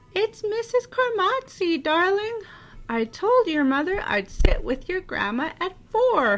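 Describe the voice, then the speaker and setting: A woman projects a raised, squeaky, put-on character voice at an extremely high pitch, moving at a fairly slow pace with very wide pitch swings. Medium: read story. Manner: chatty, bustling.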